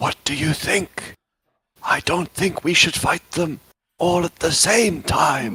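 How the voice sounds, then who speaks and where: A quiet, raspy whisper from a man in a put-on character voice, at a fairly slow pace. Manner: hushed, whispering.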